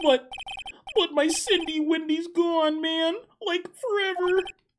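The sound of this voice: Putting on a character voice, a man speaks slowly at an extremely high pitch with a fairly bright tone and fairly even intonation.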